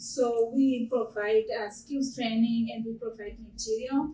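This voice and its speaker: Speaking with an African accent over noticeable background noise, a woman uses a fairly high pitch, a fairly slow pace and monotone, flat intonation. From Zimbabwe. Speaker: small business owner. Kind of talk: panel discussion. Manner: halting.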